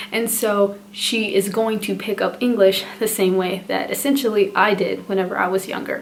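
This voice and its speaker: Fairly even intonation comes at a moderate pace with hardly any pauses over noticeable background noise. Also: woman, medium pitch for a woman. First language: Spanish. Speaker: parenting vlogger. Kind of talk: casual vlog talk to camera.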